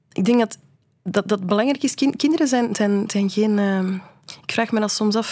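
Her voice somewhat breathy, the woman moves through her words at a moderate pace. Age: 40s. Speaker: illustrator and historian. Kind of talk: radio interview. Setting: radio studio. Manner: halting, many repetitions.

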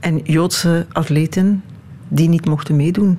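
With a Flemish accent, a woman speaks at a fairly low pitch with ordinary pitch variation over noticeable background noise. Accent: Flemish Dutch. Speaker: radio host. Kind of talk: interview.

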